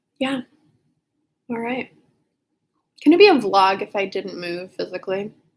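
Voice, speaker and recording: Pausing long and often, a woman speaks at a medium pitch with ordinary pitch variation. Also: big swings in loudness. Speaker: PhD student and vlogger. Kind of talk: casual vlog chat. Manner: slow.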